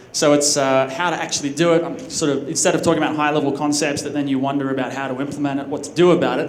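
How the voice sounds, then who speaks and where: A man's fairly high voice with an Australian accent and fairly even intonation, amid noticeable background noise and audible room echo. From Australia, Sydney. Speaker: conference speaker. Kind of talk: conference talk. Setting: stage with audience. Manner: casual, with fillers and restarts.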